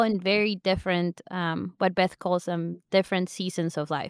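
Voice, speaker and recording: On a very clean recording with a silent background, a woman of medium pitch speaks at a moderate pace with fairly even intonation, the sound dry and close with no echo. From Argentina. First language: Spanish. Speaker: podcast co-host, online sales counselor. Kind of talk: casual chat.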